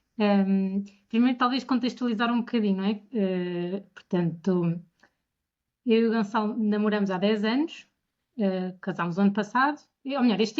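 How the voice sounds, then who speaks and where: A woman's plain, everyday voice, medium in pitch, with ordinary pitch variation and a moderate pace. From Portugal, Bombarral. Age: 30s. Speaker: bride, podcast guest. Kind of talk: casual interview.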